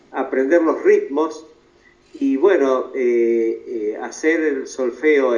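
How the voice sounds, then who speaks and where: Audible room echo is present. A man talks through it at a very slow pace. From Argentina, Buenos Aires province (Olavarría). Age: 70s. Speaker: guitar teacher and concert guitarist. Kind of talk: interview. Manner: hesitant, many fillers.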